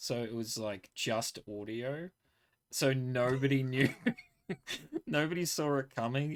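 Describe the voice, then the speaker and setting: A man's medium-pitched voice with ordinary pitch variation, fairly slow pace, and long, frequent pauses. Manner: slow speaker, long pauses.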